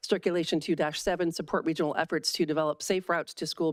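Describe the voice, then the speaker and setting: Over a silent background in a very clean recording, a woman talks very fast. Her pitch is very deep and low, and her intonation is monotone and flat. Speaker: city council member. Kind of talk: council deliberation.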